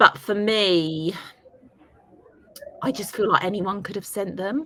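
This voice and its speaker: Big swings in loudness mark this fairly slow delivery with ordinary pitch variation, set against noticeable background noise. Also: woman, medium pitch for a woman. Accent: British. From United Kingdom. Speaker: beauty journalist. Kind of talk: interview answer.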